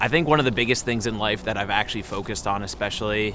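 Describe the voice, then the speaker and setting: There is noticeable background noise as a man with an American accent talks at a fairly low pitch. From New Jersey, Ocean Township. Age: 20s. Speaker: interviewee answering a personal question. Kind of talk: personal reflective monologue.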